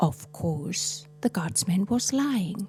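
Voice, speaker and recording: Very slow speech from a woman, over background music. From Switzerland. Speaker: storyteller. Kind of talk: fairy tale storytelling.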